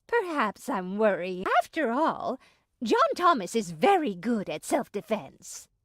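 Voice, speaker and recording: With a dry, close sound and no echo, a woman puts on a character voice at a fairly high pitch, moving slowly through very wide pitch swings. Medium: video game. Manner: fretful, fussy.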